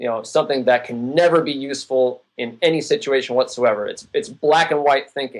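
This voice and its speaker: Its pitch varies in an ordinary way at a moderate pace. The sound is a plain, everyday voice. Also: man. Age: 40s. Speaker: endurance athlete and sports nutrition writer. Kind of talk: interview.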